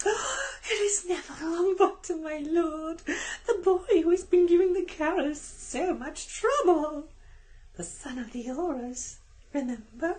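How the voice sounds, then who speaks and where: In a put-on character voice, the speaker moves along at a fairly slow pace. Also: man, extremely high pitch for a man. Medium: read story. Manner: delighted, fawning.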